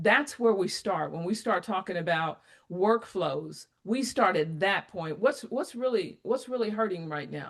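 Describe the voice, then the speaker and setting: With vocal fry and lively intonation, a woman talks at a fairly slow pace with hardly any pauses, in a medium-pitched, animated tone. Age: 60s. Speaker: applied AI advisor. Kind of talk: interview conversation.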